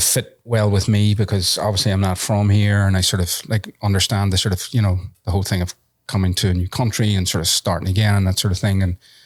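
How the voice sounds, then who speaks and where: A man with a strong Irish accent speaks at a fairly low pitch, somewhat breathy, with fairly even intonation. The sound is dry and close with no echo, in a very clean recording with a silent background. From Ireland. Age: 50s. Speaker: tattoo convention organizer and entrepreneur. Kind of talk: casual chat. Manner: hesitant, many fillers.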